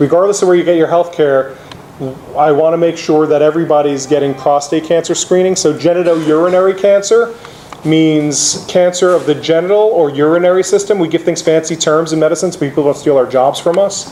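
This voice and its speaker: A man speaks fairly quickly with an American accent and a fairly high pitch. Noticeable background noise sits behind him. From New York City (the Bronx). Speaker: oncologist. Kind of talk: lecture. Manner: animated; loud.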